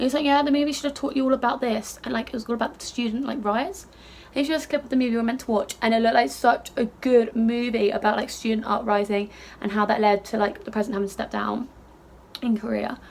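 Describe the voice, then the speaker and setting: A woman talks at a very fast pace in an animated tone, her pitch fairly high with ordinary variation. Background noise is noticeable. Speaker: beauty vlogger. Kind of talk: casual chat.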